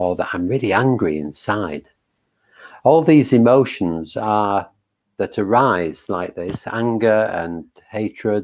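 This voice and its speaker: Lively intonation at a fairly slow pace. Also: man. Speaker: meditation teacher. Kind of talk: dharma talk before guided meditation. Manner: hesitant, many fillers; calm, gentle.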